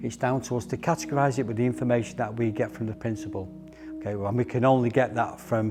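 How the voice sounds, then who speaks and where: A man's medium-pitched voice with a Manchester accent and ordinary pitch variation. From northern England, Middleton, Manchester. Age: 60s. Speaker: close protection instructor. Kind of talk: training briefing. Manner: instructive, firm.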